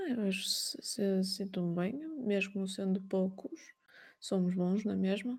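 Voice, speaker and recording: A woman's medium-pitched voice at a very slow pace, with very even loudness and ordinary pitch variation. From Portugal. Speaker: painter and art streamer, stained-glass artisan. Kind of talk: interview. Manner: halting.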